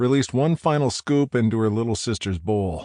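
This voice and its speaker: This man has an unremarkable speaking voice, medium in pitch, moving at a fairly quick pace with ordinary pitch variation. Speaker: audiobook narrator. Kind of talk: audiobook narration.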